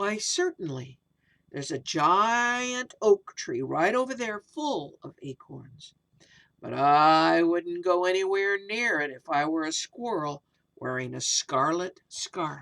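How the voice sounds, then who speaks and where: A woman puts on a character voice pitched fairly low. She delivers it at a fairly slow pace. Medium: read story. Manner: hooting, loud.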